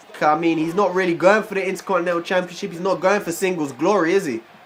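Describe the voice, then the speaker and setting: A high-pitched man talking at a very fast pace over noticeable background noise. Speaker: gaming YouTuber. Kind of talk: game commentary. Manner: casual, hesitant.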